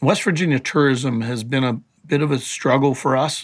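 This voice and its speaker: A man speaks with a plain, everyday voice. His pitch is medium and his pace is moderate. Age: 60s. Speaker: motorsport event director. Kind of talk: interview.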